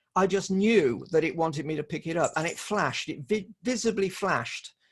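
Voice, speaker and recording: This man's pitch varies in an ordinary way, and the background is quiet. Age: 60s. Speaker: shamanic practitioner and magazine editor. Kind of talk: interview. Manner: halting, many repetitions.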